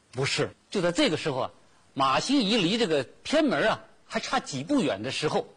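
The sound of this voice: What you hear is an unforced reading voice.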